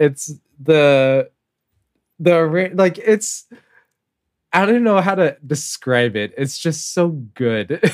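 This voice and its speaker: Speaking at a very slow pace with long, frequent pauses, a man with a fairly high pitch uses lively intonation. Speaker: podcast co-leader. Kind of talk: casual chat.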